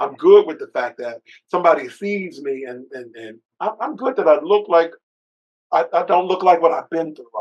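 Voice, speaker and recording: A man's high voice moves in very wide pitch swings and big swings in loudness at a moderate pace. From US, urban projects. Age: 60s. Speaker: bishop, author and TV producer. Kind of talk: interview conversation. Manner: animated.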